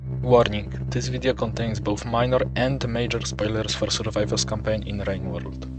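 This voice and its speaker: Very wide pitch swings from a man with a very deep, low pitch, music playing in the background. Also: moderate pace, hardly any pauses. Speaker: gaming video creator. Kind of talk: gaming commentary narration.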